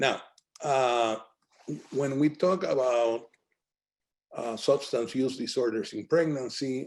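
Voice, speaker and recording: A man with a medium pitch talks at a very slow pace, leaving long, frequent pauses. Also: ordinary pitch variation. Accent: Spanish. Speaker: physician presenter. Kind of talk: lecture.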